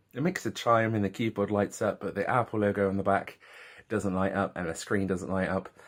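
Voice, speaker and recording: A man with an English accent and a fairly low pitch. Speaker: vlogger. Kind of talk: casual vlog. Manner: animated.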